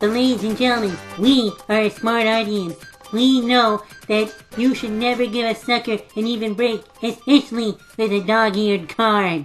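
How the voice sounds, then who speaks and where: Faint music plays in the background as a woman puts on a cartoonish character voice with a fairly high pitch. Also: moderate pace. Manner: theatrical, addresses audience.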